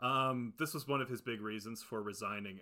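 Bright, sharp tone with ordinary pitch variation. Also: man. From Ohio, US Midwest. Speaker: podcast co-host. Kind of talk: reading prepared research notes; casual chat.

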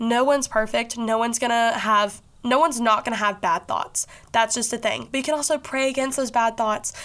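Speaking with a Southern US accent, a woman with a fairly high voice talks at a fairly quick pace. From Kentucky, Bowling Green. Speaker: podcast host. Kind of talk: casual monologue. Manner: animated.

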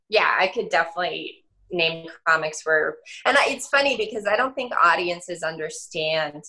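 A woman's fairly low, bright, sharp voice with an American accent, lively intonation and a moderate pace. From Denver, Colorado. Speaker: stand-up comedian. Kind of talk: casual chat.

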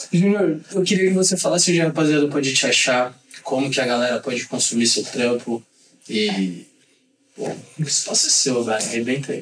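A man's fairly high voice moves at a moderate pace with lively intonation. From São Paulo. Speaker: podcast host. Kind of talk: casual chat. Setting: studio.

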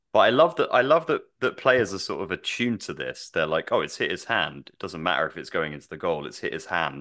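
The man talks at a fairly quick pace, and the background is quiet. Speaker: football podcast host. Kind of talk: casual chat.

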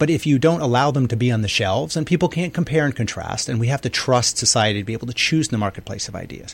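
Speaking at a very fast pace with hardly any pauses, a man uses lively intonation in a somewhat breathy voice. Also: medium pitch for a man. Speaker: radio talk show host. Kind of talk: radio interview and discussion. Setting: radio studio.

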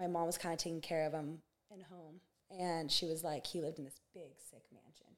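Her fairly low voice flat and monotone, a woman speaks at a moderate pace with big swings in loudness. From US West Coast, Santa Barbara, California. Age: 20s. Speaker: basketball coach, former pro player. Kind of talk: casual interview.

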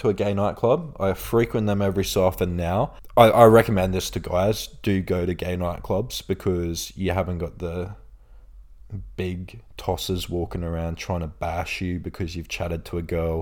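A man with an Australian accent and a very deep, low pitch, fairly even in intonation and moderate in pace, in a very clean recording with a silent background. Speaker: influencer and podcast host. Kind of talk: casual storytelling chat.

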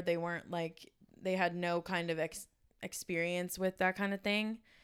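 Monotone, flat intonation from a woman at fairly low pitch and a moderate pace, on a very clean recording with a silent background. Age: 20s. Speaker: podcast host. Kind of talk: casual chat.

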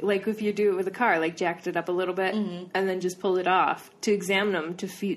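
Someone reads text aloud. The delivery is plain.

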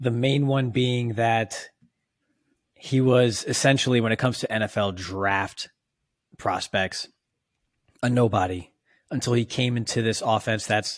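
The voice moves with ordinary pitch variation, broken by long, frequent pauses. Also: man. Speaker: podcast host, football analyst. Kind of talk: casual chat.

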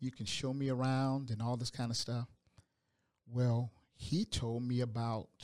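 In a very clean recording with a silent background, a man with a Georgia accent speaks at medium pitch and a moderate pace. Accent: Southern American (Georgia). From US South, Augusta, Georgia. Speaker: hospital chaplain and pastor. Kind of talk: casual interview. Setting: studio.

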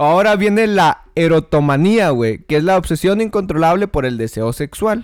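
On a very clean recording with a silent background, a high-pitched man sounds animated, with lively intonation, a moderate pace and hardly any pauses. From Ciudad Juárez, northern Mexico. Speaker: podcast co-host. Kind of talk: casual chat.

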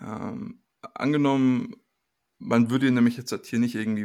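A man's medium-pitched, monotone, flat delivery at a fairly quick pace, on a very clean recording with a silent background. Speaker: podcast co-host. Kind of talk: casual discussion.

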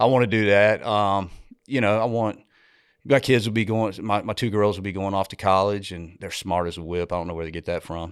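A man with a plain, everyday voice talks at a fairly quick pace and fairly low pitch. His intonation is fairly even, on a very clean recording with a silent background. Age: 50s. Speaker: masonry business owner and flat track team owner. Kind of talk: casual chat.

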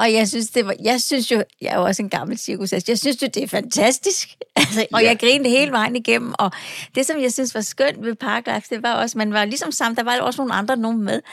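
A woman speaks with a Falster accent at a very fast pace. Her voice is fairly high, with ordinary pitch variation. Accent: Falster Danish. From Falster, Denmark. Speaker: podcast host. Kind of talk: casual chat. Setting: studio.

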